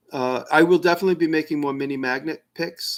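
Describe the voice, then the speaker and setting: In a New York accent, a man talks at a fairly quick pace on a very clean recording with a silent background. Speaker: maker answering viewer questions. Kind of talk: live stream Q&A. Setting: live stream, alone. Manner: casual, with many fillers and restarts.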